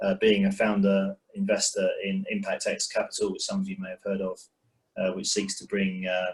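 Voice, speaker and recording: This man speaks in a London accent. His pace is moderate. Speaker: investor. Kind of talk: panel introduction.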